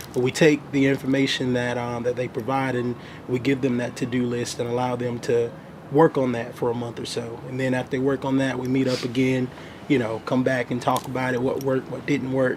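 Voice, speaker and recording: Against noticeable background noise, a man speaks at a fairly quick pace in a medium pitch with monotone, flat intonation. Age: 20s. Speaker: financial planner. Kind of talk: interview. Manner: halting, many fillers.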